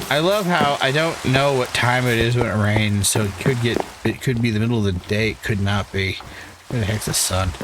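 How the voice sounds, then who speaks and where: A man with a New England accent at medium pitch, ordinary pitch variation and a fairly quick pace, over noticeable background noise. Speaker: gaming YouTuber. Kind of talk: gameplay commentary. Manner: casual, self-talking.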